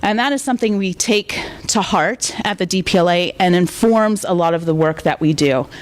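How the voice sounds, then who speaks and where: A woman with an American accent speaks at a medium pitch and very even loudness, with noticeable background noise behind her. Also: lively intonation. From US South. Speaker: library director, guest speaker. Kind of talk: lecture. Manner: fast.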